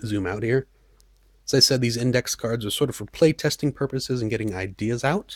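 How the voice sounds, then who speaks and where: A man talks at medium pitch and a moderate pace, his voice somewhat breathy with ordinary pitch variation. The recording is very clean, with a silent background. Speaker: hobbyist game designer. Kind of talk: tutorial. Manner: halting; casual, hesitant with fillers.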